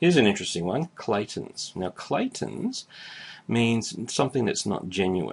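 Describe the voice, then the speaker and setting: A man speaks with an Australian accent at a moderate pace. The background is quiet. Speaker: YouTuber teaching Australian slang. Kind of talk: casual explainer talk to camera.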